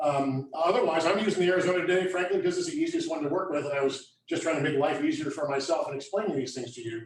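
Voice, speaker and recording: Loud and at a very fast pace, a man speaks with a high pitch and ordinary pitch variation, in audible room echo. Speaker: landscape contractor. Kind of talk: hands-on workshop demonstration.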